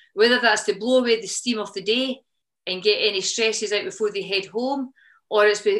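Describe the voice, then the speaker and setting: A woman speaks with a Scottish accent at a very fast pace. Her intonation is fairly even. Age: 50s. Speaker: CrossFit gym co-owner. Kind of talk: podcast interview answer.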